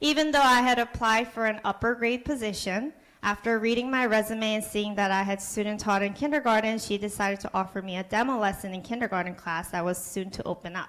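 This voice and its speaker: Speaking at a very fast pace with hardly any pauses, a woman keeps a fairly high pitch and ordinary pitch variation. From Korea. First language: Korean. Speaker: kindergarten teacher. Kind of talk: prepared speech. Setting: public board meeting.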